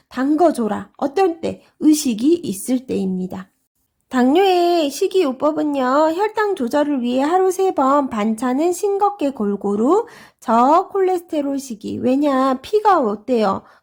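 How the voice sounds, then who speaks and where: On a very clean recording with a silent background, the speaker moves at a very slow pace with very wide pitch swings. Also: woman, high pitch for a woman. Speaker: exam prep instructor. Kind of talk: lecture.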